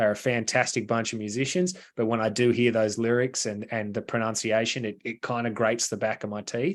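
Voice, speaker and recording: A man with an Australian accent at medium pitch, fairly quick pace, ordinary pitch variation and a quiet background. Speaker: metal band vocalist and lyricist. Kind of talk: podcast interview.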